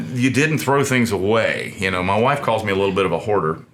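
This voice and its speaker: With a Southern US accent, a man talks at a very fast pace and medium pitch, his intonation lively, with audible room echo and noticeable background noise. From US South. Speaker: small business owner, furniture maker. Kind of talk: interview. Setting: studio. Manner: halting, with many fillers and repetitions.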